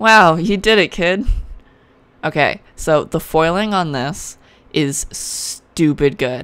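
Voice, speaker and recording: A woman with a fairly low pitch, at a very slow pace with lively intonation. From Canada. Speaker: card game YouTuber. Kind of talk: unboxing video, casual chat. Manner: animated.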